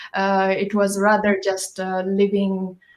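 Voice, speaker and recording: A woman speaks very slowly at a medium pitch. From northeastern Tibet. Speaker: Tibetan singer and medicine lecturer. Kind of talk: panel discussion. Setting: online live broadcast. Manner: halting, many fillers.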